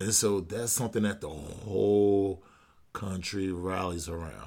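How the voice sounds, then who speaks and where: A man with an unremarkable speaking voice and an American accent, fairly low in pitch, at a fairly slow pace. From United States. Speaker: podcast host. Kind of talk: casual monologue.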